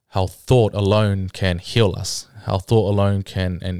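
In a New Zealand accent, a man speaks fairly slowly at a fairly low pitch, keeping his intonation fairly even. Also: very clean recording, silent background. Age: 20s. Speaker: bodybuilder. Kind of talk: casual interview.

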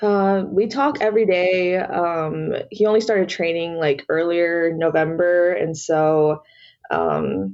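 A woman speaks with an American accent in a plain, everyday voice. Her pitch is fairly low, with ordinary variation. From US South, Georgia. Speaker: college activist. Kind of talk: casual interview.

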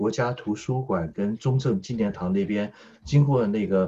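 The man's dark, mellow tone comes at a fairly slow pace. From Taiwan, Taipei. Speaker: political commentator. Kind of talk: political discussion.

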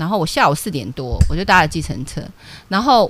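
Very wide pitch swings along with vocal fry. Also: woman. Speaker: stock market analyst. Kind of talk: radio stock analysis show. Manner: animated.

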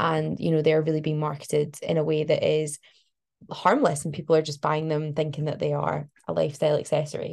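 A woman with a Glasgow accent at a fairly quick pace, over a quiet background. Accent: Glasgow Scottish. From Scotland, Glasgow. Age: 20s. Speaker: climate activist and PhD researcher. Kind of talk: interview.

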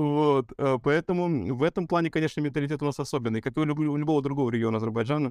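Here a man talks at a very fast pace and a fairly high pitch. The sound is dry and close, without echo. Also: ordinary pitch variation, quiet background. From Russia, Vladivostok, Azerbaijani family. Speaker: singer. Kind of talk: casual chat. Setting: studio.

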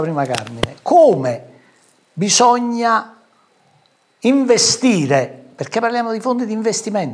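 Very wide pitch swings from a man, delivered at a fairly slow pace. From southern Italy, Ariano Irpino (Campania). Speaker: businessman and local politician. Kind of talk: political talk show interview.

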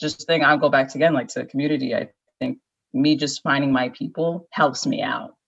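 A woman with a Midwestern American accent at a fairly quick pace. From US Midwest, Naperville, Illinois. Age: 20s. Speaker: podcast guest. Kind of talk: casual chat.

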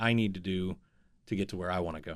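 A man at a fairly low pitch and very fast pace, with an American accent. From Northeast Ohio. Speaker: business coach. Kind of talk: interview storytelling. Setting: studio.

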